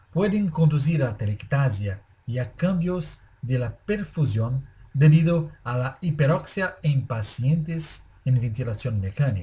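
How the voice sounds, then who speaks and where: A man's somewhat breathy, dark, mellow voice at medium pitch, in a Brazilian accent, with lively intonation at a fairly slow pace. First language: Portuguese (speaking Spanish). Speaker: anesthesiologist. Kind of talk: lecture. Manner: formal.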